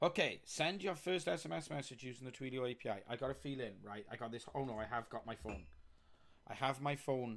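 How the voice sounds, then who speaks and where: A man talks at a fairly quick pace with a Welsh accent, his pitch medium and his tone animated. His intonation is lively, and vocal fry runs through his voice. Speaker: software developer live streamer. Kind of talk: live coding stream commentary. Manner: casual, chatty.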